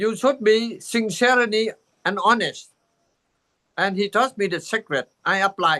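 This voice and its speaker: Raised and projected, a man's high, bright, sharp voice comes through dry and close with no echo, showing ordinary pitch variation and long, frequent pauses. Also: fairly slow pace. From Vietnam. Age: 80s+. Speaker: Buddhist teacher. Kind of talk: dharma talk. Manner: halting.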